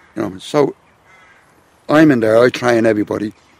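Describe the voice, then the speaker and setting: A man with an Irish accent speaks at a moderate pace in a medium-pitched voice with ordinary pitch variation, the sound dry and close with no echo. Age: 60s. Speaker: medieval warfare instructor. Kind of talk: interview. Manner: casual, halting.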